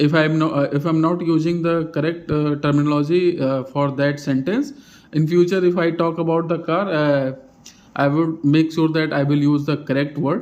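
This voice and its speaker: A man's fairly high voice with an Indian accent and fairly even intonation. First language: Hindi. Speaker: vlogger practicing English. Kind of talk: casual monologue. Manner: halting, many fillers; slow.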